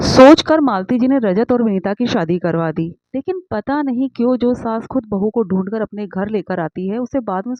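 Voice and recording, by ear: The speaker reads aloud. The voice sounds natural.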